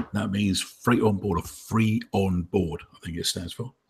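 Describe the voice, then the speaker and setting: Here a man talks fairly slowly at a fairly low pitch. His voice is somewhat breathy, with ordinary pitch variation. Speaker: webinar host. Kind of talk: casual webinar discussion. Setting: video call.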